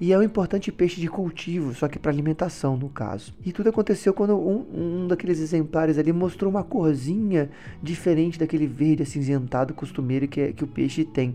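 A man with a fairly high pitch and a dark, mellow tone talks at a fairly quick pace, with hardly any pauses. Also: ordinary pitch variation. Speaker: podcast host, aquarium hobby writer. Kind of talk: solo educational podcast. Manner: casual, filler-heavy.

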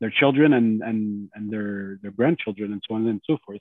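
A man's fairly low voice with a French accent. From Montreal. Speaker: lawyer. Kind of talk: family conversation.

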